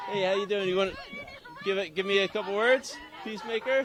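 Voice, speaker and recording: With crowd noise behind him, a man speaks at a moderate pace in a high pitch. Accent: Philadelphia. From Philadelphia, US. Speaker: street reporter. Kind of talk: live street interviews. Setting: outdoors at a protest march.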